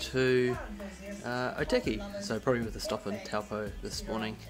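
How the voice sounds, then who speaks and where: Clear music in the background beneath a man's fairly slow speech. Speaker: family vlogger. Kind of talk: casual vlog chat. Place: home room. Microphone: phone near.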